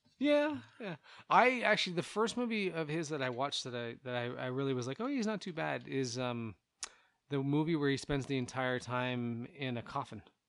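Using an ordinary speaking voice, a man talks at a moderate pace, fairly high in pitch, with lively intonation. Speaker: podcast co-host. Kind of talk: casual chat.

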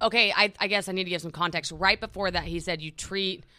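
A woman speaks with a bright, sharp tone and fairly even intonation. The recording is very clean, with a silent background. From Oklahoma City. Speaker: podcast co-host, content creator. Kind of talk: casual chat.

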